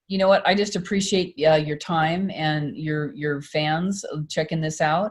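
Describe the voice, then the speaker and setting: A fairly low, somewhat breathy woman's voice at a moderate pace, with ordinary pitch variation. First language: French. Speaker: singer and performer. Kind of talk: casual chat. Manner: halting.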